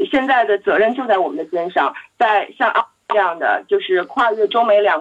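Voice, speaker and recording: Speaking in an ordinary speaking voice, a woman uses lively intonation at a fairly high pitch. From Beijing, China. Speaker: marketing professional at a resort company. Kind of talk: casual discussion.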